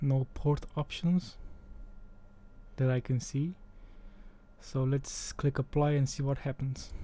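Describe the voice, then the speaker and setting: A man speaks very slowly at a fairly high pitch, in a monotone, flat, somewhat breathy voice with a dark, mellow tone and long, frequent pauses. The recording is very clean, with a silent background. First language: Romanian. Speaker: tech tutorial creator. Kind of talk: tutorial. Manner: casual.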